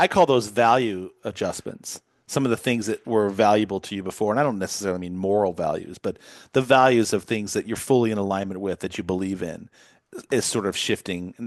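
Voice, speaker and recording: A man with a normal speaking voice talks at a fairly quick pace and fairly low pitch, with ordinary pitch variation. The sound is dry and close with no echo over a quiet background. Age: 50s. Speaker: podcast host. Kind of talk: interview.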